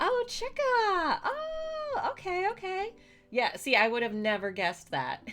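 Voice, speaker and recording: Speaking at a fairly slow pace in an animated tone, a woman with an American accent is heard over noticeable background noise. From United States. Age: 30s. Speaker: streamer. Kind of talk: casual chat.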